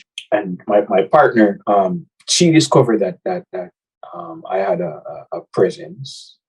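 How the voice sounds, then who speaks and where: A man speaks fairly slowly at a medium pitch. His loudness swings widely and his pitch swings very widely. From Jamaica. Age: 20s. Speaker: singer, college student. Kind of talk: interview. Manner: halting, many repetitions.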